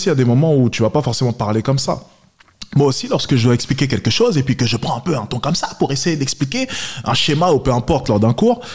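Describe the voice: Over noticeable background noise, a man talks at a very fast pace. His pitch varies in an ordinary way.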